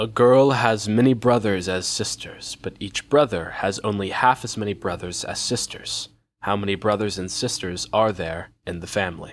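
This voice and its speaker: A man puts on a robotic character voice, fairly low in pitch. He speaks at a moderate pace with ordinary pitch variation. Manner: ominous.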